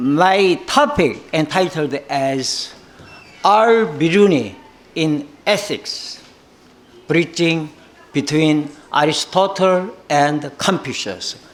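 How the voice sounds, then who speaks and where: The speaker talks very slowly with a Korean accent and lively intonation. Room echo is audible, and background noise is noticeable. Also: man. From South Korea. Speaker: professor. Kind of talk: conference keynote speech. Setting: conference. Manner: halting, many fillers.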